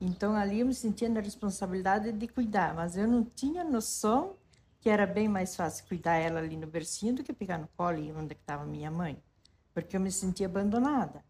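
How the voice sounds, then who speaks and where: Somewhat breathy, a woman speaks at a medium pitch while her loudness rises and falls widely. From southern Brazil, rural western Santa Catarina. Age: 60s. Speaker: interviewee telling life story. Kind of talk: personal testimony. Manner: halting, with self-corrections.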